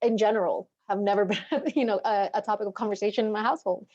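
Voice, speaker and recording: The tone is dark and mellow, delivered at a very fast pace. The background is quiet. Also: woman. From Guatemala, then United States from age nine. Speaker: paralegal. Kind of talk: panel discussion.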